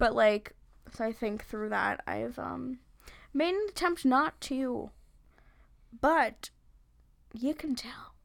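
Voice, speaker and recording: A woman with an American accent speaks at a very slow pace in a high pitch with lively intonation and long, frequent pauses. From Long Island, New York. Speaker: podcast host. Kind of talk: casual comedic chat. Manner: joking, crude, animated.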